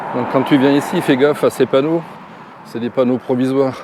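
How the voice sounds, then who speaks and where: Over noticeable background noise, a man talks fairly quickly in a monotone, flat intonation. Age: 60s. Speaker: travel vlogger, retiree. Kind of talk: casual vlog talk to camera. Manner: hesitant, many fillers.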